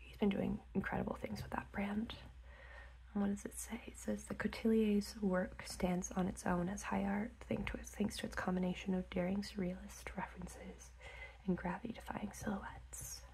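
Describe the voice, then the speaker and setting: Soft-spoken, the speaker keeps a moderate pace. Light background noise can be heard. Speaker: ASMR creator. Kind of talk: ASMR magazine flip-through.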